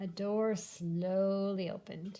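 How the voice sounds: Slow and fairly even in intonation, a woman speaks at a medium pitch. Her tone is dark and mellow.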